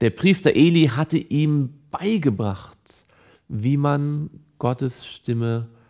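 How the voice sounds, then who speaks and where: Over a quiet background, a man talks at a very slow pace with ordinary pitch variation. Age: 30s. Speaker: evangelist. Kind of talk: Bible teaching / devotional. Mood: calm, earnest. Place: studio.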